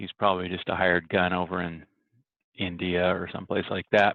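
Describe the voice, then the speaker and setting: A man speaks quietly at a moderate pace. His pitch is very deep and low. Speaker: network administrator vlogger. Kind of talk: casual vlog. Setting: office.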